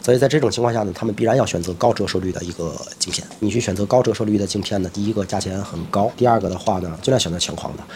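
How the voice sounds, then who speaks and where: Against noticeable background noise, a man with a fairly low pitch and ordinary pitch variation talks very fast with hardly any pauses. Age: 40s. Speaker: optometrist and eyewear shop owner. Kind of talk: interview chat.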